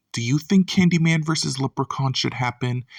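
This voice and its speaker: A soft-spoken man with lively intonation, in a very clean recording with a silent background and a dry, close sound with no echo. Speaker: YouTube film commentator. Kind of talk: casual video commentary. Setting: home at night. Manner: quiet, soft-spoken.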